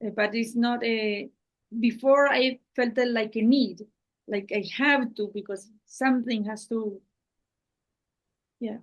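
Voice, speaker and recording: A woman speaks in a fairly high pitch with a Spanish accent and fairly even intonation. Her pace is fairly slow, broken by long, frequent pauses. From Spanish-speaking Latin America. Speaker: channel host and translator. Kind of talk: one-on-one conversation. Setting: video call. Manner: halting.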